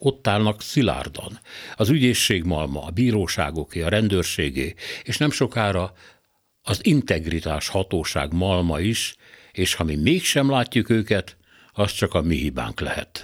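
A man's very deep, low pitch with vocal fry and very wide pitch swings, at a fairly slow pace, in a very clean recording with a silent background. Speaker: radio commentator. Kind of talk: scripted opinion commentary. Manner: formal.

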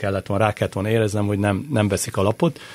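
A man speaks at a very fast pace in a fairly low pitch. His voice is somewhat breathy. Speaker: football commentator and former player. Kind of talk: casual chat. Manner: halting.

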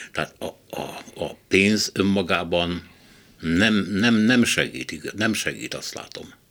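At a very slow pace, a man with a fairly low pitch and vocal fry talks with ordinary pitch variation and big swings in loudness. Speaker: radio host. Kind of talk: panel discussion.

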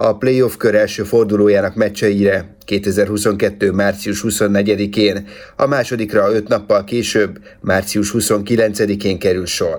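A man speaks very slowly at a fairly low pitch. His intonation is monotone and flat, with very even loudness. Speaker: sports news presenter. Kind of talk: news reading. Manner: formal.

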